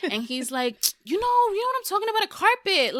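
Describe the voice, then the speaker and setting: Animated and full of very wide pitch swings, a woman speaks with a Spanish accent in a dry, close sound with no echo. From United States, Puerto Rican and Dominican family. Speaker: podcast guest. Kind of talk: casual chat.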